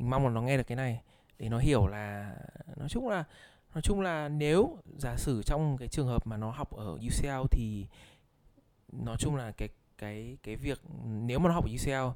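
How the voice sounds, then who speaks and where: A man with a dark, mellow tone speaks at a fairly slow pace, leaving long, frequent pauses. His pitch is medium, with ordinary variation. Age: 20s. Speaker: university student. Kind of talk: casual chat.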